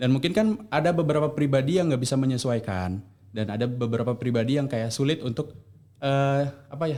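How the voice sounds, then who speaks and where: Speaking at a very fast pace, a man has a dark, mellow tone, a medium pitch and ordinary pitch variation. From Indonesia, Medan (North Sumatra). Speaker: university student. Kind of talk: casual podcast chat.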